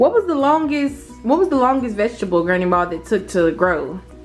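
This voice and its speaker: Over music in the background, the speaker talks at a moderate pace with very wide pitch swings. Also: woman. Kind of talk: interview questions.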